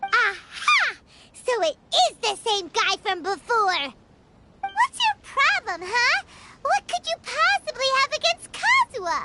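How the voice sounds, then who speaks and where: An energetic put-on character voice with an extremely high pitch moves along at a fairly slow pace. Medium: video game. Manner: energetic, exclamatory.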